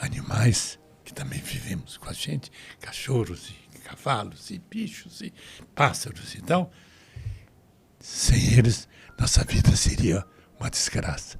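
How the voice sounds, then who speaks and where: Speaking at a fairly slow pace and medium pitch, a man uses vocal fry, very wide pitch swings, big swings in loudness, and long, frequent pauses. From Brazil (grew up after emigrating as a child). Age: 80s+. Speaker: Holocaust survivor. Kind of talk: testimony. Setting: studio.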